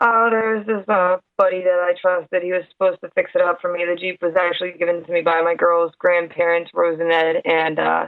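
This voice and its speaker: A woman with a New York accent, fairly low in pitch, at a fairly quick pace with hardly any pauses and monotone, flat intonation. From New York, Hudson Valley. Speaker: guest Jeep owner, construction worker. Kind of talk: casual interview. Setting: Skype call.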